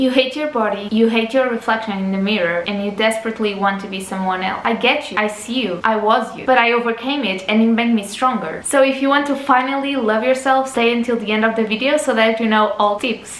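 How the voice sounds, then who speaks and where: Fairly quick speech with hardly any pauses, ordinary pitch variation and audible room echo. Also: woman, fairly high pitch for a woman. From Portugal. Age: 20s. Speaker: lifestyle YouTuber. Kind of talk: casual advice talk to camera. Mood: warm, encouraging. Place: home room.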